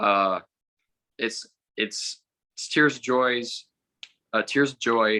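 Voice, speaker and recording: Here a man talks with a bright, sharp tone and ordinary pitch variation. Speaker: race car driver. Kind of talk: interview. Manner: halting, repeats words.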